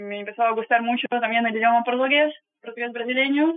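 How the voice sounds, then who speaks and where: Her pitch is high and her pace fairly quick. The woman's intonation remains fairly even. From Russia, Saint Petersburg. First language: Russian (speaking Spanish). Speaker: travel guide on ships. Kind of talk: interview. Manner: halting.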